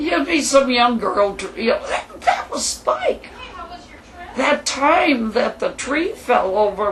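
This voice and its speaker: Speech comes at a very slow pace over noticeable background noise. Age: 60s. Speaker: widow telling her life story. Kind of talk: interview. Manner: animated.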